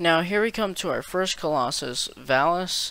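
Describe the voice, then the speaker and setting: Bright and sharp in tone, the voice moves at a moderate pace on a very clean recording with a silent background. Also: man. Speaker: gaming YouTuber. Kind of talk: game commentary voiceover. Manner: monotone.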